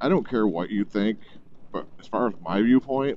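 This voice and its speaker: The sound is dry with no echo and light background noise. The pace is moderate. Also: man. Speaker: motorcycle vlogger. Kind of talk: casual vlog chat. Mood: blunt, irreverent. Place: motorbike. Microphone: helmet.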